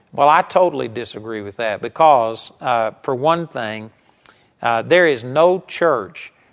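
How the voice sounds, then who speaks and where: This man has an unremarkable speaking voice, a medium pitch and ordinary pitch variation. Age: 50s. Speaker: bible teacher. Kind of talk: sermon.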